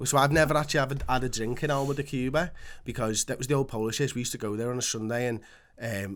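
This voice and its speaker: A man with a Liverpool accent at a very fast pace, medium pitch and fairly even intonation. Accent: Scouse. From Liverpool, England. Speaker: podcast co-host. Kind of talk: casual chat.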